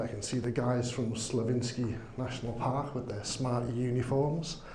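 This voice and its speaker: Audible room echo carries a man's voice. He speaks fairly slowly in a Liverpool accent. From northern England, Liverpool. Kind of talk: conference talk. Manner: slow, deliberate; hesitant, many fillers.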